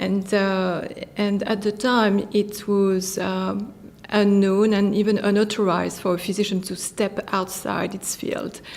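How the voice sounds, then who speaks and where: A woman with a French accent, monotone, flat intonation and a fairly slow pace. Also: medium pitch for a woman. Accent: French accent, still noticeable. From France. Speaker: physician and tech company founder. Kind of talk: interview. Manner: hesitant, many fillers.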